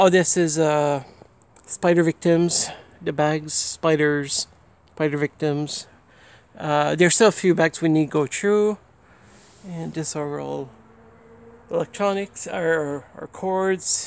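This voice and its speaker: The speech goes at a very slow pace with long, frequent pauses. The sound is dry, with no echo. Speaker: home vlogger. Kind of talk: casual vlog chat. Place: street. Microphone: phone near.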